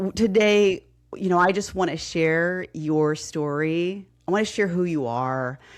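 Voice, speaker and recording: Against a quiet background, a woman with a slight Texas accent speaks at a fairly slow pace with ordinary pitch variation. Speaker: podcast host, fitness coach. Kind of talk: casual interview.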